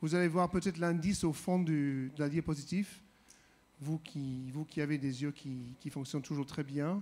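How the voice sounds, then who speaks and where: With a non-native accent, a man speaks at a moderate pace and a fairly high pitch, his intonation fairly even. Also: very clean recording, silent background. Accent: foreign accent in French. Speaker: visiting preacher. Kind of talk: sermon. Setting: church. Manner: halting, many hesitations.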